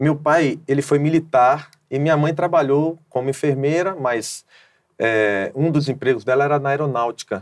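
Pitch varies in an ordinary way over a quiet background. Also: man, moderate pace. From Bahia, Brazil. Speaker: gospel singer; interview guest. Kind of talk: testimony. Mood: calm, reflective. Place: studio. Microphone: lapel.

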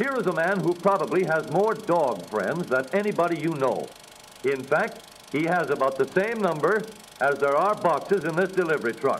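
Through noticeable background noise, a man speaks at a moderate pace in a high, upbeat voice with lively intonation. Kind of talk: vintage newsreel ad narration.

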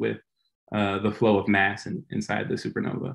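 Against a quiet background, a man with a fairly low pitch talks at a fairly quick pace in a monotone, flat intonation. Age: 30s. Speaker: physicist, postdoctoral researcher. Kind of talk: lecture. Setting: video call. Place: home room. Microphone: video call.

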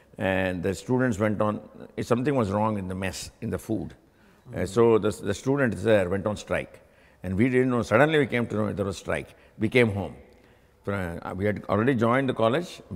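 This man speaks with an Indian accent at a fairly quick pace, his voice fairly low in pitch with ordinary variation. He leaves long, frequent pauses. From India (Gujarat). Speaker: university alumnus, engineer. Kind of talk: oral history interview. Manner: halting, with frequent fillers and repeats. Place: studio. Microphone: lapel.

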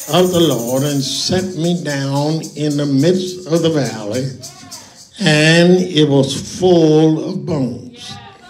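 With faint music in the background, a man speaks at a very slow pace and with ordinary pitch variation. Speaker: preacher. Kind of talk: sermon. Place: church. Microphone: handheld.

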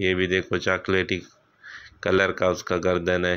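At a moderate pace, a man speaks in a low pitch with a clear, smooth tone.

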